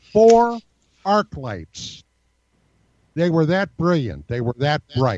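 A man's fairly high voice with very wide pitch swings, at a fairly slow pace. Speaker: UFO researcher and writer. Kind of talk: casual interview.

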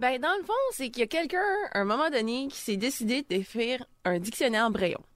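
A woman speaks in a high voice at a fairly quick pace, her pitch swinging very widely. Noticeable background noise runs underneath. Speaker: radio columnist, new to radio.

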